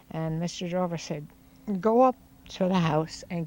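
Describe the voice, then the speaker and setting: A woman with a Newfoundland accent speaks at a fairly slow pace, her fairly low pitch rising and falling in an ordinary way. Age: 80s+. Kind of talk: interview answer. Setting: outdoors.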